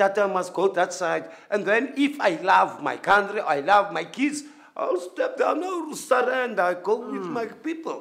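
Over a quiet background, a man with a high voice speaks at a moderate pace with lively intonation. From South Africa. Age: 50s. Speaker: builder. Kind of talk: casual chat. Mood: earnest, impassioned. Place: hall.

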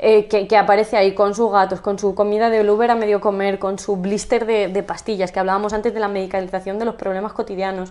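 With hardly any pauses, a woman speaks at a very fast pace in a monotone, flat intonation. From Spain, La Mancha (Campo de Criptana); La Mancha, Spain. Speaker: journalist and writer; journalist. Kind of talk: interview conversation. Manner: halting, repetitive. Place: home room. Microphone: camera far.

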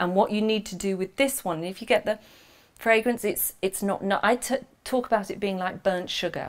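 A moderate pace with fairly even intonation. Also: woman, medium pitch for a woman.

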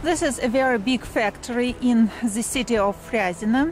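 At a fairly slow pace, a woman speaks with ordinary pitch variation in a dry sound with no echo, faint music in the background. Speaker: vlogger, tour guide. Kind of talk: casual vlog chat. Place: street. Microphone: phone near.

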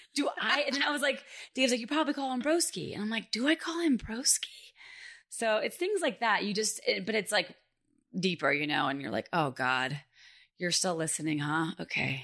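Over a quiet background, a woman speaks at a moderate pace in a fairly high pitch, her bright, sharp tone marked by vocal fry and very wide pitch swings. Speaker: comedian and content creator. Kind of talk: casual chat.

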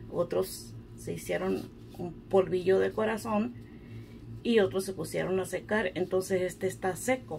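A woman at medium pitch speaks at a moderate pace, her slightly mellow tone touched with vocal fry and her intonation fairly even.

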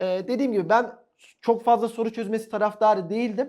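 A man speaks with a high-pitched voice. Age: 20s. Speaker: top-ranking exam candidate, new English teacher graduate. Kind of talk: interview. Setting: studio.

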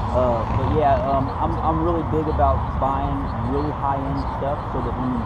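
Speaking at a moderate pace, a man can be heard through loud background noise. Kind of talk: casual conversation. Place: street.

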